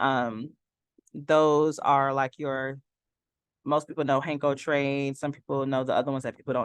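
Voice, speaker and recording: The speaker has an American accent and keeps a moderate pace. The background is quiet. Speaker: trading instructor. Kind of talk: live online class. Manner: casual, hesitant with fillers.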